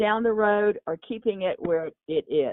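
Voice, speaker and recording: Speaking at a moderate pace, a woman talks with a Texan accent. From Texas. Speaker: mayor. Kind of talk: interview. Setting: podcast.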